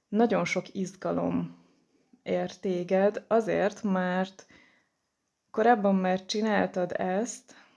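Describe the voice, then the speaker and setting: Talking very slowly, a woman leaves long pauses again and again. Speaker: tarot card reader. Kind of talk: tarot reading. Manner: hesitant, many filler sounds.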